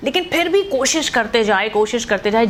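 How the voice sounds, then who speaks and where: Behind a woman's high-pitched speech, noticeable background noise can be heard. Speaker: radio jockey. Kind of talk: motivational storytelling to camera. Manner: casual, conversational.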